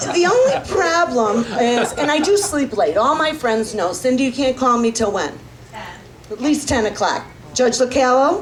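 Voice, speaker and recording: Loud speech with audible room echo and noticeable background noise. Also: woman. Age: 60s. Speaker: comedian. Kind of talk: stand-up comedy performed seated. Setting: stage with audience.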